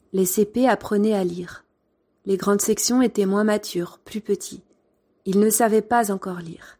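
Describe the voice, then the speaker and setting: Over a silent background in a very clean recording, a woman with a medium-pitched voice and a dark, mellow tone speaks fairly slowly in a monotone, flat way, with long, frequent pauses. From France. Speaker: former primary school teacher, podcaster. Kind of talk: storytelling narration.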